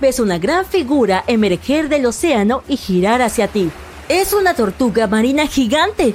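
Her voice sits high, and it makes very wide pitch swings. Noticeable background noise runs under this woman. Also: very even loudness. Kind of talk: dramatic second-person horror storytelling narration.

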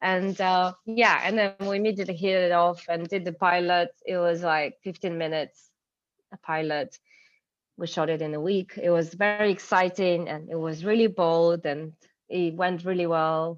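A woman with a Ukrainian accent speaks at a moderate pace. Her pitch is fairly low and her intonation fairly even. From Ukraine, Kyiv. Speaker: cinematographer. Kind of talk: interview conversation.

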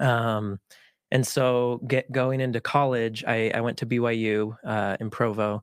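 Fairly even intonation in a dry, close sound with no echo, on a very clean recording with a silent background. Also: man. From Utah, US. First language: Spanish. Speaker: film producer and actor. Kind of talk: casual interview conversation. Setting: studio.

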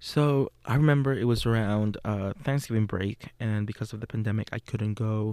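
The voice has a dark, mellow tone and a Spanish accent, with ordinary pitch variation. It moves at a moderate pace in a dry, close sound with no echo. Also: man. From Puerto Rico. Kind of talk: casual monologue; guided visualization.

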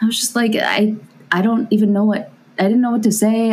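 A woman speaks at a moderate pace with an American accent. Music plays in the background. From California. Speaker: guest. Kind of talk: casual chat.

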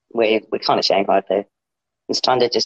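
The voice has an Australian accent. It moves at a fairly quick pace. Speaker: podcast guest. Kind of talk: casual chat.

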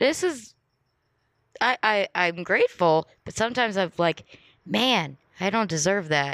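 A woman's medium-pitched voice at a fairly slow pace, with lively intonation, long and frequent pauses, and a dry, close sound with no echo on a very clean recording with a silent background. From Los Angeles, California. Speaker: comedian. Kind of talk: casual chat.

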